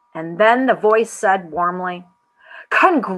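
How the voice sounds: Quiet background behind a natural reading voice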